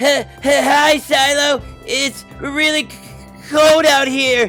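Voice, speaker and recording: A cartoonish character voice speaks at a high pitch and a very slow pace. Clear music plays behind it. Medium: puppet. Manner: shivering, stuttering.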